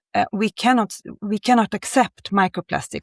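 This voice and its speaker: Fairly even intonation sits on a very clean recording with a silent background. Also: woman, dry, close sound with no echo. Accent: Swedish. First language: Swedish. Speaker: creative director of outdoor clothing brand. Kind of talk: interview. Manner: halting.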